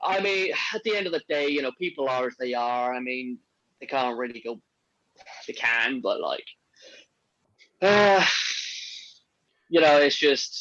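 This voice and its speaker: A man speaks with a fairly high pitch and lively intonation. His pace is fairly slow, broken by long, frequent pauses. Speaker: podcast host. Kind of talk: casual chat.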